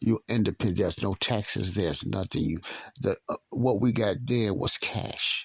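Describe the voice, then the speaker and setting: A somewhat breathy voice at a moderate pace shows ordinary pitch variation, in a very clean recording with a silent background and a dry, close sound with no echo. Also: man, fairly low pitch for a man. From Chicago, South Side (Morgan Park). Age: 60s. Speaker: podcast host. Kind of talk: personal storytelling monologue. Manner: casual, conversational with repetitions.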